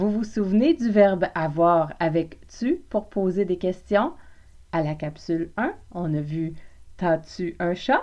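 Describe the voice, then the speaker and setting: A woman speaks at a very slow pace with a Quebec accent, her medium-pitched voice dark and mellow in tone, with ordinary pitch variation. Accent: Québécois French. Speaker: French language teacher, podcaster. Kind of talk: language lesson podcast. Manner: informal, playful.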